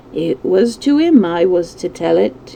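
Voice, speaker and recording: A woman's put-on character voice, rumbling and fairly low, delivered at a fairly slow pace. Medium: read story. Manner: obstinate, grumbling.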